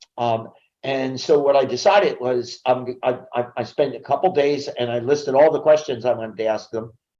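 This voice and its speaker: A man speaks with an American accent. His tone is dark and mellow. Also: medium pitch for a man, ordinary pitch variation, moderate pace. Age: 70s. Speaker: business coach and speaker. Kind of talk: interview. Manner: halting with repetitions.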